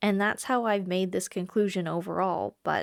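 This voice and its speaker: A woman's normal speaking voice, medium-pitched and at a moderate pace, dry and close with no echo, on a very clean recording with a silent background. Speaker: travel vlogger. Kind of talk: story time talk to camera.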